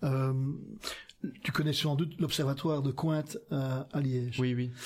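Somewhat breathy, a man's voice carries along at a moderate pace. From Flanders, Belgium. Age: 60s. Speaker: politician. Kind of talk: casual chat. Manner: halting.

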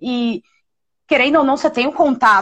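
The setting behind her is quiet. Her pitch sits high as the woman talks. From Brazil, São Paulo. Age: 40s. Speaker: cultural producer. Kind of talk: live-stream interview.

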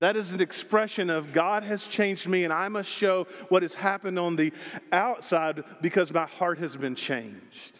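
Animated in tone, a speaker with a Southern US accent talks at a moderate pace with ordinary pitch variation against noticeable background noise. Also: man, high pitch for a man. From Arkansas. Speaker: pastor. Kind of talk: sermon. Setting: church.

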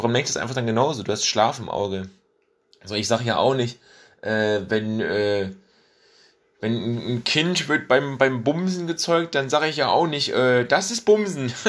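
The man's voice sits at a medium pitch with lively intonation. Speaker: solo podcast host. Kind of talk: casual monologue. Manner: fast. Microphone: faulty mic replaced after crackling.

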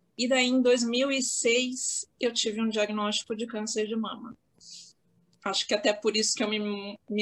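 A woman's fairly high-pitched, normal speaking voice, with fairly even intonation and a fairly slow pace. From Santos, São Paulo state, Brazil. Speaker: lawyer. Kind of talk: casual chat. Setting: video call from home office.

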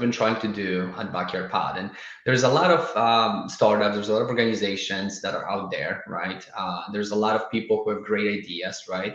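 Through noticeable background noise, a man with a Polish accent talks in a fairly low pitch at a moderate pace, with fairly even intonation and hardly any pauses. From Poland. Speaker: startup founder. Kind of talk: casual interview. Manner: halting, many fillers.

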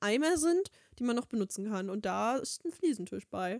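In a dry, close sound with no echo, a woman with a fairly high pitch speaks at a moderate pace. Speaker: podcast co-host. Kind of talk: casual chat.

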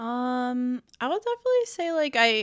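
A woman with a Chicago accent, fairly high in pitch, with very wide pitch swings, on a very clean recording with a silent background. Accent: Chicago American English. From US Midwest, Chicago. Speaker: gaming content creator. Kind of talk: casual chat. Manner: giggly, uses many fillers.

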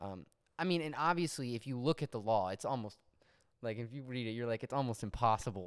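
In a normal speaking voice, a man talks at a fairly quick pace with medium pitch and ordinary pitch variation. The recording is very clean, with a silent background. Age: 20s. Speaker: musician, guest. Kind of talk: casual chat about faith.

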